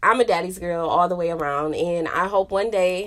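Using a normal speaking voice with an American accent, a woman talks at a moderate pace and medium pitch with fairly even intonation, in a very clean recording with a silent background. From northern Illinois (Chicago, then Rockford). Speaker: podcast host. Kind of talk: casual monologue.

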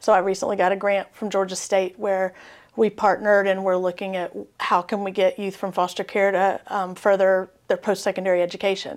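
A woman's flat, monotone voice at medium pitch, fairly quick, on a very clean recording with a silent background. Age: 40s. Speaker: education professor. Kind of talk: interview.

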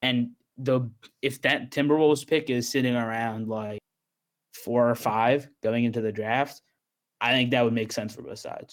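Using an unremarkable speaking voice, a man talks at a moderate pace and medium pitch with fairly even intonation. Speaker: podcast guest. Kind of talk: casual chat about basketball and news.

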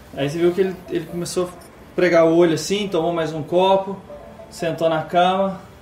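A man with a high pitch and monotone, flat intonation at a moderate pace, with noticeable background noise and audible room echo. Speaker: game master of a tabletop RPG stream. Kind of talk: RPG narration and play. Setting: live stream.

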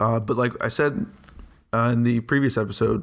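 A man speaks in a monotone, flat intonation at a moderate pace. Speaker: podcast host, music reviewer. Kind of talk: solo podcast album review. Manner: casual, thinking out loud.

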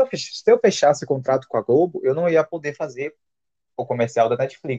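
Somewhat breathy, a man speaks at a moderate pace. The sound is dry and close, with no echo. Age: 20s. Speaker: podcast guest. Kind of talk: casual chat.

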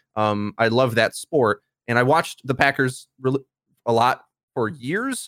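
A medium-pitched man at a fairly slow pace, with ordinary pitch variation and a dry, close sound with no echo. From US Midwest, Milwaukee. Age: 20s. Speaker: YouTube content creator. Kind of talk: casual interview chat. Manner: straightforward.

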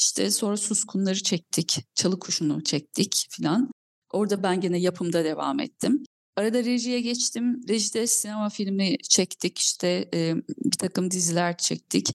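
With a plain, everyday voice, a woman speaks fairly slowly at a medium pitch with ordinary pitch variation and very even loudness in a dry, close sound with no echo. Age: 40s. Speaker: film and TV producer. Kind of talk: interview.

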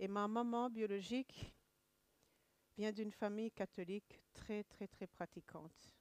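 At a very slow pace, a woman speaks with fairly even intonation and long, frequent pauses. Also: medium pitch for a woman, dry, close sound with no echo. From Rwanda, Kigali area. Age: 40s. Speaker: church member giving testimony. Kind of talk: testimony. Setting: church service. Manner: halting.

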